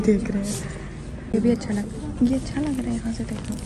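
A woman is talking. Loud background noise runs underneath her. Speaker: vlogger. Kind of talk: casual vlog chat. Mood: playful, joking. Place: shop. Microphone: phone near.

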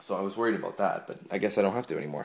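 With audible room echo around him, a man speaks at a fairly low pitch. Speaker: gaming YouTuber. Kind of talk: unboxing video. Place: home room. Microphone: cheap USB mic picking up TV echo; phone near.

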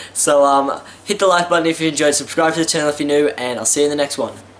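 Amid light background noise, a man speaks at a very fast pace with ordinary pitch variation. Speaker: vlogger. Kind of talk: casual vlog outro. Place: home room. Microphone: webcam.

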